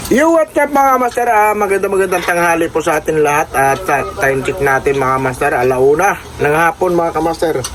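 A high-pitched man speaks at a fairly quick pace with lively intonation and hardly any pauses. His loudness stays very even over noticeable background noise. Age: old. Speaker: food vlogger. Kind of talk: sales pitch; casual mukbang vlog. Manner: halting.

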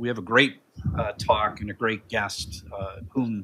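Bright, sharp tone in a man's voice. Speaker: seminar host introducing the event. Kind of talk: event introduction remarks. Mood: light, joking. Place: meeting room. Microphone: podium.

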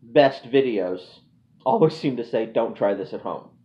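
With a fairly slow delivery, the man gets his words out. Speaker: channel host. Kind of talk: casual vlog chat. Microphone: phone near.

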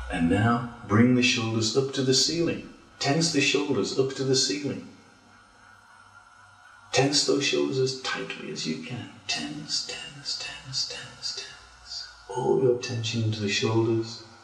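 Over music in the background, a calm voice moves at a fairly slow pace with audible room echo. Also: man. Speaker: yoga teacher. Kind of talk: guided relaxation. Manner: slow, calm. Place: home room.

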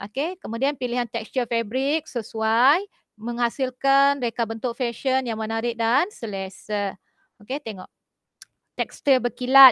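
A woman's high, bright, sharp voice at a fairly slow pace, with ordinary pitch variation, a dry sound with no echo, and a quiet background. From Malaysia. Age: 40s. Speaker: school teacher; teacher. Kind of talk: online class lecture. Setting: video call. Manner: casual, halting with fillers. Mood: relaxed, chatty. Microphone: headset.

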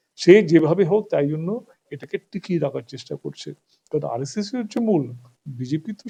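Very wide pitch swings move through a dark, mellow tone. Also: man. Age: old. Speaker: political activist. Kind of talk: interview. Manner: animated.

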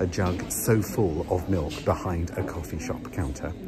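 Music plays in the background while a man talks. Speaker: entertainer vlogger. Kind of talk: casual vlog rant. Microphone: phone near.

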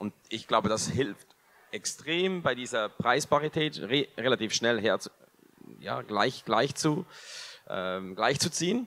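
A man with a Swiss German accent and a bright, sharp tone, speaking at a very slow pace with long, frequent pauses. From Switzerland. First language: Swiss German (speaking German). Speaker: food company co-founder; company founder on panel. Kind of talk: panel discussion. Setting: stage with audience. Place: hall. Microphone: handheld.

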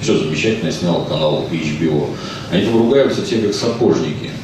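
Strong room echo surrounds a man with a fairly low pitch. Light background noise can be heard. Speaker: film translator and commentator, member of a public council at the ministry of culture. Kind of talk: casual talk answering an audience question. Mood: sardonic, ironic. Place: hall.

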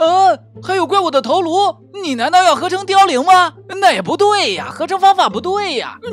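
A male voice keeps a moderate speed while background music plays. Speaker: voice-over narrator and dub artist. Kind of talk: game video commentary. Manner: lively, playful.

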